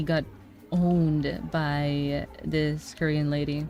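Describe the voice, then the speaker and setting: A woman's very deep, low voice in a Spanish accent. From Quebec and Nicaragua. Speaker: streamer and artist. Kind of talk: casual chat.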